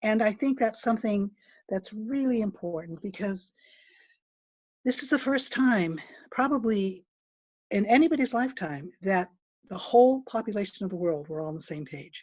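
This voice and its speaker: The voice is somewhat breathy, with lively intonation. Long pauses come often. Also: woman. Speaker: dance movement therapist. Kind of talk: online presentation. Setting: video call. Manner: fast.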